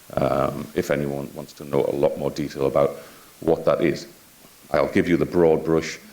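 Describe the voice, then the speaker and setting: In a Yorkshire accent, the speaker keeps a moderate pace, with big swings in loudness and noticeable background noise. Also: man. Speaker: health IT executive and physician. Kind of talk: conference talk. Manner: hesitant, with frequent filler words.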